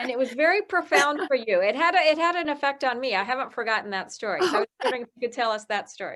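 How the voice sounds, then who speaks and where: A woman talks very fast with hardly any pauses, her high pitch swinging very widely. Her tone is bright and sharp. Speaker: author and homeless housing founder. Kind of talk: interviewer conversation.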